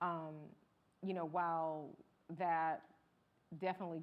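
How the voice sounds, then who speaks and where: Her intonation monotone and flat, a woman with an American accent talks at a moderate pace with fairly low pitch. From US South, Georgia near Atlanta. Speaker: journalist. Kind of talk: panel discussion.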